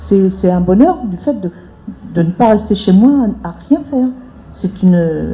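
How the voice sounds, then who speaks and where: Noticeable background noise sits behind a woman speaking at a fairly slow pace. Her medium pitch carries lively intonation. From rural France. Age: 50s. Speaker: debate participant, unemployed social worker. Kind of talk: public group discussion.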